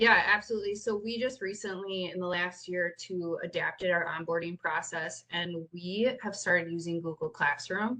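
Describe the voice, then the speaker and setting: Her bright, sharp tone carries ordinary pitch variation as the woman talks. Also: medium pitch for a woman, moderate pace, hardly any pauses. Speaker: nonprofit youth program leader. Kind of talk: webinar presentation.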